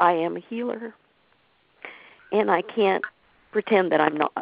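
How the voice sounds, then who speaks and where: In a normal speaking voice, a woman talks at a fairly slow pace with ordinary pitch variation. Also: medium pitch for a woman. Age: 50s. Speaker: caller. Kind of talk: spiritual group call.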